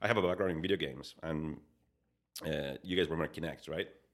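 Over a silent background in a very clean recording, a speaker with a Spanish accent talks at a fairly quick pace with vocal fry. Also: man. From Spain. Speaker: digital design executive. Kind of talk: casual interview.

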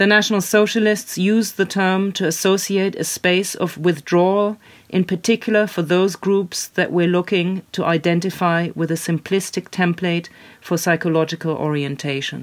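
Someone with a German accent speaks at a moderate pace. The recording is very clean, with a silent background. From Germany. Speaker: author and illustrator. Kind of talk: interview. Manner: halting.

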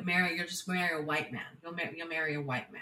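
A woman's fairly low, bright, sharp voice with a Californian accent and fairly even intonation. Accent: Californian American English. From California (San Jose). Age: 20s. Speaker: podcast guest sharing life story. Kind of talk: personal storytelling interview. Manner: halting with many fillers and repetitions.

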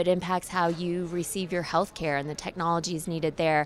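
Against a silent background on a very clean recording, a woman with an unremarkable speaking voice and an American accent talks at a moderate pace and a fairly low pitch. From Oklahoma. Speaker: think tank program executive. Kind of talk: interview. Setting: conference event.

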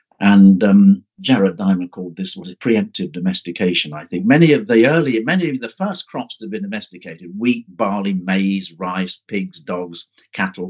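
With an English accent, a man speaks at a fairly low pitch and a moderate pace. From central England. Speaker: archaeology professor. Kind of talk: interview. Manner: halting.

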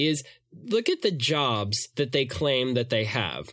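A plain, everyday voice from a man at medium pitch, lively in intonation, in a very clean recording with a silent background. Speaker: podcast host. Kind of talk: casual chat.

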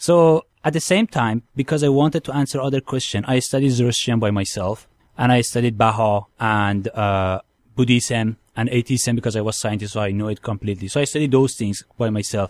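A man with a Persian accent talks fairly quickly at a medium pitch, with ordinary pitch variation. The very clean recording has a silent background and a dry, close sound with no echo. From Iran. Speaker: convert from Islam to Christianity. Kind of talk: testimony. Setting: studio.

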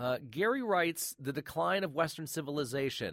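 A man with a warm tone and vocal fry speaks with very wide pitch swings. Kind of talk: relaxed radio-host show wrap-up, chatty sign-off patter leading into an archive clip. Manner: warm, conversational, friendly, with filler 'uh's and casual pacing.

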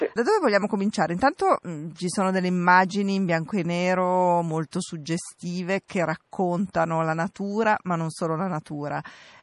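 A woman with an unremarkable speaking voice talks at a moderate pace with hardly any pauses, in a medium pitch and fairly even intonation, with a dry, close sound and no echo. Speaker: radio film show host. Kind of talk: radio presenting and interviews. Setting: film festival.

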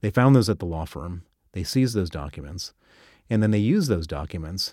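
A man with an American accent, fairly low pitched, with a dark, mellow tone, very wide pitch swings and a fairly quick pace, in a dry, close sound with no echo on a very clean recording with a silent background. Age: 50s. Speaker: financier and activist. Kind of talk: interview.

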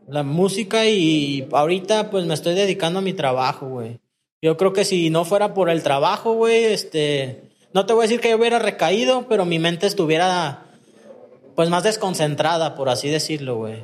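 In a Mexican accent, a man talks at a moderate pace with a high pitch and lively intonation. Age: 30s. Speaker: recovering addict. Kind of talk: personal testimony in casual interview.

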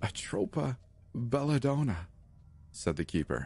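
At a moderate pace, a somewhat breathy man speaks with very wide pitch swings. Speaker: horror story narrator. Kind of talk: first-person horror story narration. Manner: dramatic, suspenseful storytelling; voices characters like the menacing keeper.

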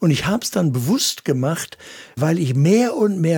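Man's voice, fairly high in pitch, with very wide pitch swings. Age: 70s. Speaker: pastor and evangelist. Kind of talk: interview.

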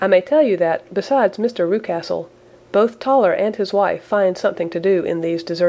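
Lively intonation marks the delivery. It is read aloud in a natural voice.

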